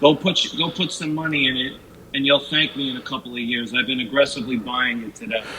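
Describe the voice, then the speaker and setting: Against noticeable background noise, a man talks at a fairly high pitch with a Northeastern US accent. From US Northeast. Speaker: caller, sports fan. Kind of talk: casual chat. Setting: online audio chat room.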